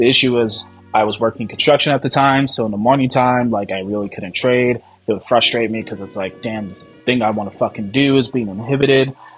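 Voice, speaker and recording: Music plays in the background as a man of medium pitch talks at a very fast pace with fairly even intonation. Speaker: amateur futures trader. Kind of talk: casual talk to camera. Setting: poor home recording without microphone. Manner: casual, profane, hesitant.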